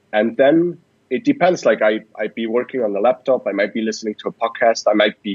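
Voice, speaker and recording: A man's medium-pitched voice moves at a fairly quick pace, with a dry, close sound and no echo. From Switzerland. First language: Swiss German. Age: 20s. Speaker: startup founder and investor. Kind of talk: podcast interview.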